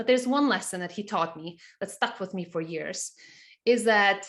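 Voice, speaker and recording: This is a woman speaking. She has a Montenegrin accent. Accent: Montenegrin accent, noticeable. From Montenegro. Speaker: CFO and business teacher. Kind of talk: webinar presentation.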